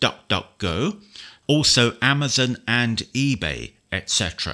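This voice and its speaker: A man with a British accent speaks very slowly at a medium pitch, his bright, sharp tone edged with vocal fry, on a very clean recording with a silent background. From United Kingdom. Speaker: software trainer. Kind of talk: tutorial. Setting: screen reader demo. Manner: clear, instructional.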